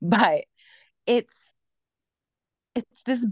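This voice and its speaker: Against a quiet background, a woman speaks in an animated tone with lively intonation, in a dry, close sound with no echo. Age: 30s. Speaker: theater director and shadow cast performer. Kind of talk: casual interview.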